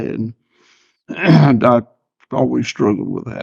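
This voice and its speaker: A man with a Southern US accent speaks in a medium pitch. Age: 60s. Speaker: farmer. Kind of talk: casual chat. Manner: halting, repeats words.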